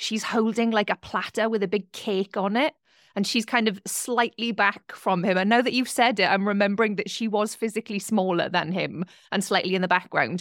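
A woman with a medium pitch and an unremarkable speaking voice talks at a fairly quick pace with fairly even intonation. The very clean recording has a silent background and a dry, close sound with no echo. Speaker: podcast co-host. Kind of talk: interview.

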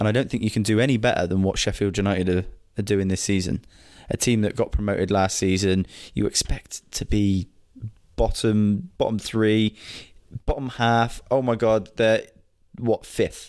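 With an English accent, a man speaks at a moderate pace in a fairly low pitch, his intonation fairly even and his loudness very even, pausing long and often. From England. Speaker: football podcast co-host. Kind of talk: casual chat.

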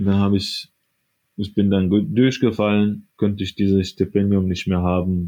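Over a quiet background, a man with a dark, mellow tone and a fairly low pitch talks at a fairly slow pace with fairly even intonation. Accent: Arabic. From Syria, Aleppo. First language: Arabic (speaking German). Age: 20s. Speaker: radiology assistant. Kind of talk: interview.

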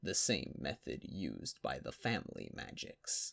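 The speaker adopts a put-on character voice. The delivery keeps a moderate pace. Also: man. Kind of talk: fantasy audiobook character voice. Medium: read story. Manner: grand, formal storytelling, shifting to agitated.

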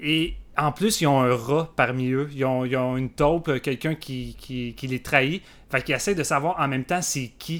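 On a very clean recording with a silent background, a man with a Quebec accent speaks at a moderate pace in a fairly high pitch with ordinary pitch variation. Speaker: film podcast guest. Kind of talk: casual chat.

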